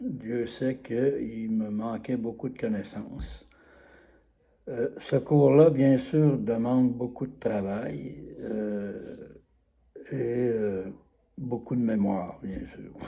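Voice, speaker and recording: This man talks at a very slow pace with long, frequent pauses and ordinary pitch variation. His tone is dark and mellow, with big swings in loudness. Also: medium pitch for a man. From Quebec, Trois-Rivières. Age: 70s. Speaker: course participant giving a testimonial. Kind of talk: testimonial. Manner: halting, many hesitations.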